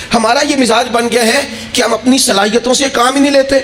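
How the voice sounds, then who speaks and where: Over noticeable background noise, a man speaks in an extremely high voice with a passionate tone and fairly even intonation. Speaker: Islamic scholar giving a sermon. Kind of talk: Islamic sermon (bayan) to an audience. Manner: passionate, emotional, rhetorical.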